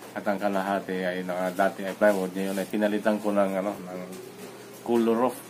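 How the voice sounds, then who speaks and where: With light background noise behind him, a man speaks at a fairly low pitch in a monotone, flat intonation. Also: fairly quick pace. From Philippines. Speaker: overseas worker vlogger. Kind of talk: vlog monologue. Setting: at home. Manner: halting. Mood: reflective, calm. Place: home room. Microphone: phone near.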